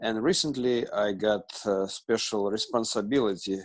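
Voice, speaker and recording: In a Russian accent, a man speaks at a fairly low pitch and a fairly slow pace, his intonation fairly even. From Russia, Moscow. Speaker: student, ministry fundraiser. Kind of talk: class introduction. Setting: video call. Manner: halting, many fillers.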